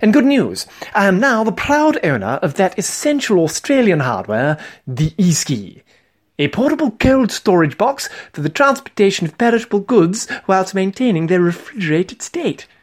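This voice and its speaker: This man uses a pompous, theatrical tone with a British accent, a high pitch, and very wide pitch swings. He talks at a moderate pace on a very clean recording with a silent background. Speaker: comedian. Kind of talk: dramatic narration. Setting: solo recording, diary-style monologue. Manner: pompous, mock-formal, theatrical.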